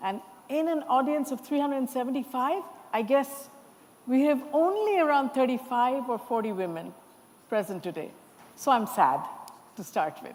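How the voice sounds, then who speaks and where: A high-pitched woman talks at a moderate pace, her pitch swinging very widely, with long, frequent pauses. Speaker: panel moderator. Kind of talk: panel discussion moderation. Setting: conference stage with audience. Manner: loud.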